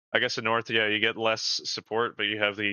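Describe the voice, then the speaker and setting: The speaker is a man. He talks with a Canadian accent. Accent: Canadian, mistaken for American by chat. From Canada. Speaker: gaming community manager, stream host. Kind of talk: live gameplay stream chat.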